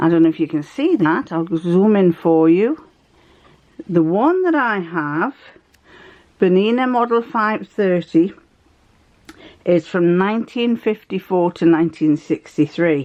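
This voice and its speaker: A woman with an English accent speaks at a medium pitch and a fairly slow pace, using lively intonation and long, frequent pauses. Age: 70s. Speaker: sewing vlogger. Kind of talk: casual chat. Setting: home sewing room.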